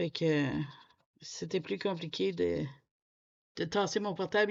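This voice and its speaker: Against a quiet background, a woman speaks at a fairly slow pace with vocal fry. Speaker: coloring youtuber. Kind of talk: casual chat. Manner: halting.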